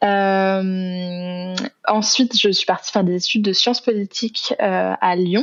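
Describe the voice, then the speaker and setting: The speech is very slow, with very even loudness and ordinary pitch variation. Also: woman, medium pitch for a woman. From southern France, Aix-en-Provence. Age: 20s. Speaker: author and student. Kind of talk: podcast interview. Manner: hesitant, many fillers.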